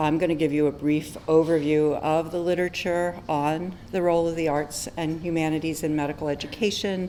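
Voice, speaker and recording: A soft-spoken woman with a very deep, low voice talks at a fairly quick pace, hardly pausing. Her intonation is flat and monotone, and the room echo is audible. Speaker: physician and medical educator. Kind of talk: conference talk. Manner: hesitant with many fillers.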